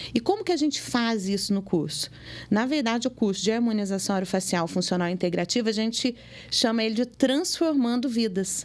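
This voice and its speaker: A woman with an ordinary speaking voice, fairly high-pitched and lively in intonation, at a fairly quick pace with very even loudness, on a very clean recording with a silent background. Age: 40s. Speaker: dentist. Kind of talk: interview.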